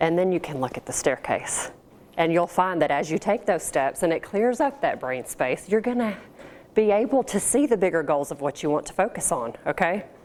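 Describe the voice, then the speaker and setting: Her pitch swinging very widely, a woman talks in an American accent. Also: medium pitch for a woman, moderate pace. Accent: slight country. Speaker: professional organizer, small business owner. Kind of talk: business seminar talk with Q&A. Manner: casual, conversational.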